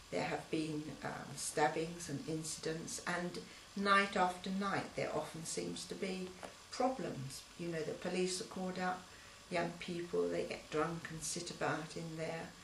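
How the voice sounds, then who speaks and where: Speaking at a fairly slow pace with a London accent, a woman with a fairly low pitch keeps a fairly even intonation, with audible room echo and noticeable background noise. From East London. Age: 70s. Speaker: local resident. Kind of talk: interview.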